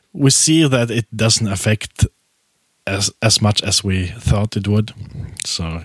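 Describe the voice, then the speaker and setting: This man has a fairly low pitch and lively intonation, recorded with a dry, close sound with no echo. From Poland. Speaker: podcast host. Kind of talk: casual chat.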